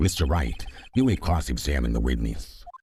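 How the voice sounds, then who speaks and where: A man growls in a put-on character voice, very deep and low-pitched, with lively intonation. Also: moderate pace. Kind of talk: formal, authoritative.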